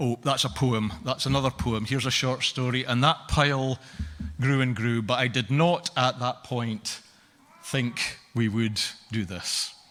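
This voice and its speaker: Speaking at a fairly slow pace, a man uses a plain, everyday voice with medium pitch and ordinary pitch variation. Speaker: event host. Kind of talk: welcome speech at a live reading event.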